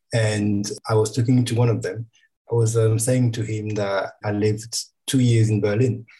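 With a French accent, a man speaks at medium pitch and a moderate pace, somewhat breathy and dark and mellow in tone, with fairly even intonation. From France. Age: 40s. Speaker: photographer and designer, guest interviewer. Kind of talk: casual interview chat.

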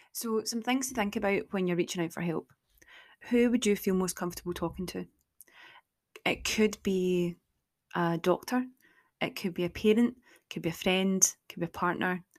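A woman speaks in a Scottish accent with an animated tone, leaving long, frequent pauses. The recording is very clean, with a silent background. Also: medium pitch for a woman, ordinary pitch variation, moderate pace. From Scotland. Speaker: podcast host. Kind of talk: casual chat. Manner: animated, laughs often; sounds sarcastic and condescending.

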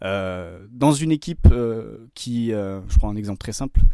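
A man speaks at a moderate pace with a dark, mellow tone. The recording is very clean, with a silent background. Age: 30s. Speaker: football video and performance analyst. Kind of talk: podcast interview.

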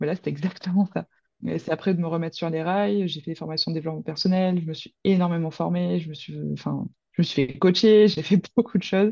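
A woman with an ordinary speaking voice talks at a fairly quick pace, her fairly low pitch showing ordinary pitch variation. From Provence, near Marseille. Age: 20s. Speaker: horse trainer and behaviourist. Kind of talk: casual interview.

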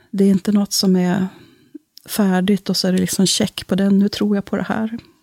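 A woman speaks at a moderate pace and medium pitch, her tone dark, mellow and somewhat breathy, her intonation monotone and flat. Long, frequent pauses break up the dry, close sound with no echo. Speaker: parish priest. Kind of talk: casual interview. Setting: studio.

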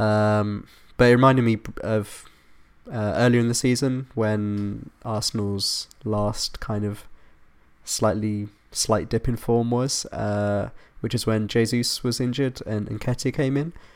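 On a very clean recording with a silent background, a man with an English accent speaks at medium pitch, at a fairly slow pace and with fairly even intonation. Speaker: football podcast host. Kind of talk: casual chat.

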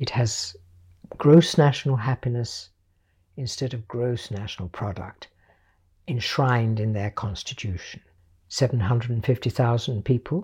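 Someone speaks with a British accent at a fairly slow pace in a very clean recording with a silent background. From Portugal (British family, near Lisbon). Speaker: visual artist. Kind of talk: interview. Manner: formal.

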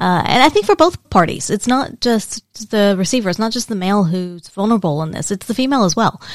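In a very clean recording with a silent background and dry, close sound with no echo, a woman talks with an American accent. Her medium pitch and lively intonation move at a fairly quick pace with hardly any pauses. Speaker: podcast co-host. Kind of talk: casual chat.

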